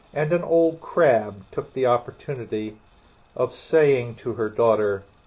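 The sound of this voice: The text is read in an unforced voice. That manner holds from start to finish.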